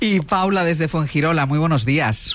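Speaking at a moderate pace with ordinary pitch variation, a man uses a fairly high pitch and a fairly bright tone.

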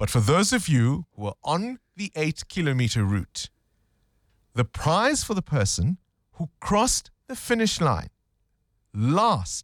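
At a slow pace and a fairly high pitch, a man speaks with big pitch swings, the sound dry and close with no echo in a very clean recording against a silent background.

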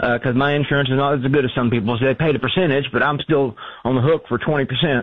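Fast pace from a man at medium pitch, with fairly even intonation.

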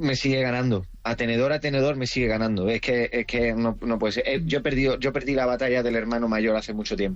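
A man with an Andalusian accent talks at a fast pace with few pauses. His medium pitch holds fairly even intonation.

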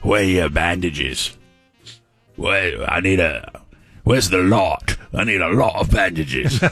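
In a put-on character voice with an English accent, a man speaks very deep and low and gravelly, leaving long, frequent pauses over faint background music. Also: moderate pace.

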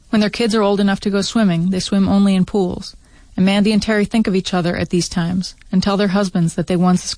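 The intonation is fairly even. A natural voice reads the text aloud.

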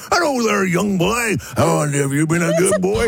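A man puts on a character voice with a high pitch. He speaks at a moderate pace. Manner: jolly.

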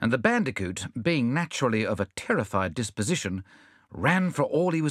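Reading done in an unforced reading voice

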